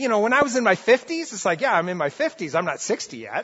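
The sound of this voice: A man talks at a fast pace in a high pitch with big pitch swings, a bright, sharp tone and a slightly husky edge.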